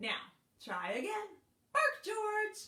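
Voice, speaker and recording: Putting on a squeaky character voice, a woman speaks at an extremely high pitch. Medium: read story. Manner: calm, businesslike.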